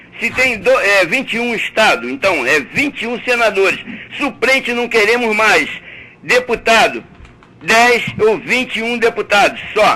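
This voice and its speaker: Through noticeable background noise, a man with a high pitch uses a raised, projected voice at a fairly slow pace. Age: 70s. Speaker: caller. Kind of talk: heated debate. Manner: animated.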